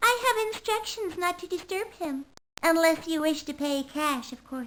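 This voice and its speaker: A woman speaks in a put-on character voice pitched extremely high, with lively intonation, a moderate pace and big swings in loudness. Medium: video game. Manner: prim, condescending.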